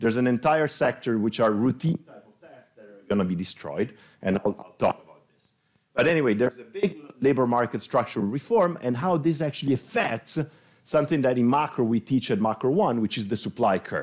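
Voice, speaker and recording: Talking at a fairly quick pace, a man uses lively intonation with big swings in loudness. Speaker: presenter. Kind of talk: lecture. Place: classroom.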